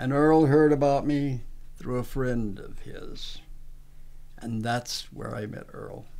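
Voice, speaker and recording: In a room with audible echo, a dark, mellow voice moves at a very slow pace with fairly even intonation but big swings in loudness. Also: man, medium pitch for a man. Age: 70s. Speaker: Korean War veteran. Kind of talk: interview testimony.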